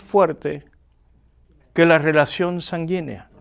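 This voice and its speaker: Speech unfolds at a very slow pace. The recording is very clean, with a silent background. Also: man. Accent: slight Argentine. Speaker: pastor and teacher. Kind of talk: lecture. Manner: animated.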